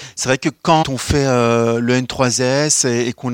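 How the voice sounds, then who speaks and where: The sound is dry and close with no echo, with noticeable background noise and fairly even intonation. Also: man. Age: 30s. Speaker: social security executive. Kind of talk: career testimony.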